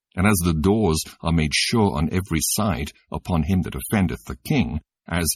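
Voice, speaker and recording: A man with a very deep, low voice and vocal fry talks at a fairly slow pace with lively intonation, recorded dry and close with no echo. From Britain. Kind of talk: scripture audiobook reading. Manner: expressive, clear, natural.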